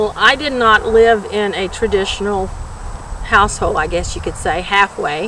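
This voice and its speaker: A fairly high-pitched woman with an American accent, ordinary pitch variation and a moderate pace, over noticeable background noise. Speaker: retired public health worker, anti-smoking advocate. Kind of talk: interview testimony. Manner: halting, many fillers.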